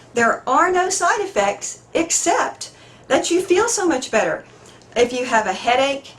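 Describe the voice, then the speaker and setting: A woman's voice with very wide pitch swings and a fairly slow pace, over noticeable background noise. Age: 60s. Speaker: patient giving testimonial. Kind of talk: testimony. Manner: halting.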